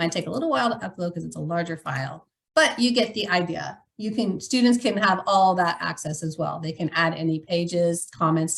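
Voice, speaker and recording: A woman's somewhat breathy voice, fairly quick in pace and lively in intonation. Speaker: educational technology staff presenter. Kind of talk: webinar tutorial demonstration.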